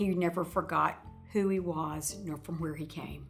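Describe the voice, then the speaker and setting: A woman with a Mississippi accent at medium pitch and a moderate pace, fairly even in intonation, with audible room echo and music in the background. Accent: Southern US (Mississippi). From Mississippi (New Albany). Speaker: tribute speaker. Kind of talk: tribute speech.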